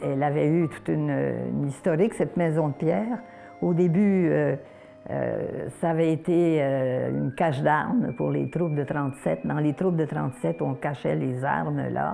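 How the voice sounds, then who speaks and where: Rather unhurried speech against noticeable noise in the background. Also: woman. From Quebec, Terrebonne area. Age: 90s. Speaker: elderly interviewee recounting family history. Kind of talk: oral history testimony. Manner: halting, many hesitations.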